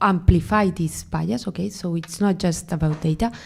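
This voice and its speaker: Fairly slow speech in a Spanish accent, with ordinary pitch variation, on a very clean recording with a silent background. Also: woman. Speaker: AI researcher, keynote speaker. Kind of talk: panel Q&A. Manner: halting, many fillers.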